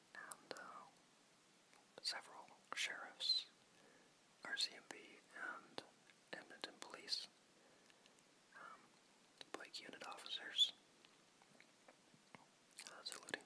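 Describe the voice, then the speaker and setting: A man whispering at a very slow pace, with big swings in loudness, long, frequent pauses and noticeable background noise. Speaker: ASMR whisperer. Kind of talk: casual talk to camera. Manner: whispered.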